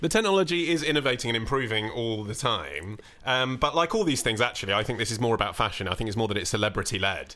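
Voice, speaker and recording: A man talks at a very fast pace with lively intonation and hardly any pauses. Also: medium pitch for a man. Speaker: podcast co-host. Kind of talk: casual comedic banter.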